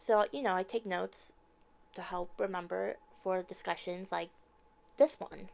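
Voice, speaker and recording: Soft-spoken, a woman talks at a moderate pace with long, frequent pauses and big swings in loudness. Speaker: TV show reviewer. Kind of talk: casual review monologue. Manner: hesitant, many fillers.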